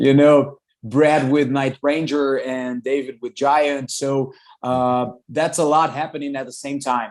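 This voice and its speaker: A man speaks at a fairly slow pace in a Brazilian Portuguese accent, his fairly high pitch held in a monotone, flat intonation. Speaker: rock singer. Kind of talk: interview. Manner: loud.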